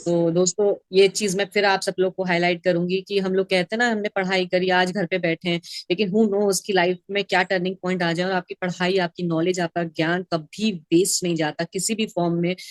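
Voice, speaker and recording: Hardly pausing, the voice runs at a moderate pace in a flat monotone, with a dry, close sound and no echo. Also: woman, medium pitch for a woman. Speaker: mindset coach. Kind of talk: talk show host interview questions.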